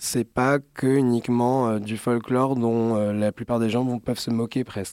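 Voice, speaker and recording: In a very clean recording with a silent background and a dry, close sound with no echo, a man speaks very slowly at medium pitch, his dark, mellow tone held in flat, monotone intonation. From Alsace, Strasbourg. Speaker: fashion designer. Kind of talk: interview. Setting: studio.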